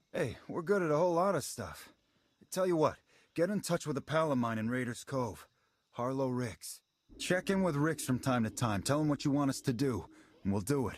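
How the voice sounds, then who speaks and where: A man's put-on character voice, gruff and medium in pitch, at a moderate pace on a very clean recording with a silent background. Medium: video game. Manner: gruff, streetwise.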